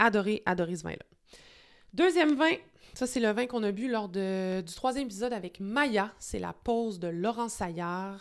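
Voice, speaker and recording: A woman's medium-pitched voice with a Quebec accent, fairly slow in pace, on a very clean recording with a silent background. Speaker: wine video host. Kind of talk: casual vlog monologue. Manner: hesitant, many fillers; enthusiastic.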